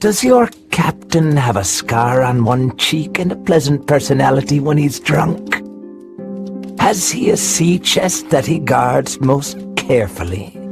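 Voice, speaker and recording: A man's put-on character voice at a medium pitch and fairly slow pace, with faint music in the background. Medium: audio drama. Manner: sneering, falsely friendly with menace.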